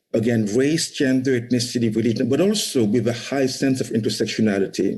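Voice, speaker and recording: A man's dark, mellow voice with a non-native accent and lively intonation. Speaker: startup founder. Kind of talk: conference talk. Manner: frequent repetitions and fillers.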